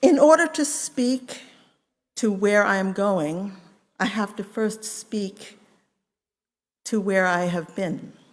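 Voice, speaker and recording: A woman with an American accent at a very slow pace, lively intonation and long, frequent pauses. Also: medium pitch for a woman. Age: 70s. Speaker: congregant. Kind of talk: testimony. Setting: church. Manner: formal.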